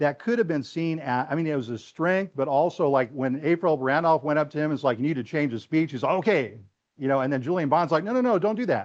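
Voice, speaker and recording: A man's fairly high, very fast voice with an animated tone and lively intonation. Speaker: historian and lecturer. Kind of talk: lecture.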